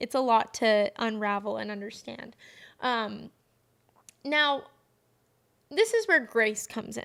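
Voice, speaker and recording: Recorded very cleanly against a silent background, a woman speaks with long, frequent pauses and big swings in loudness. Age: 20s. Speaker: podcast host. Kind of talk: personal reflective monologue. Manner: fast.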